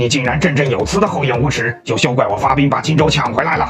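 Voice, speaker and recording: Over clear background noise, a man does a cartoonish character voice at medium pitch and a very fast pace. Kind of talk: comedy dub of animation. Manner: angry, shouting.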